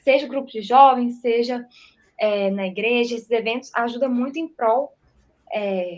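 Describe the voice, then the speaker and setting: A woman's fairly high-pitched voice carries ordinary pitch variation. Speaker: church media volunteer. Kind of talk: testimony.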